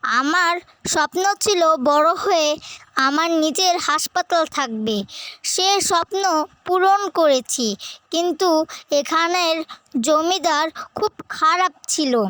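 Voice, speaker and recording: A cartoonish character voice at a very slow pace. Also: female-sounding voice, extremely high pitch for a woman. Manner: menacing, cackling.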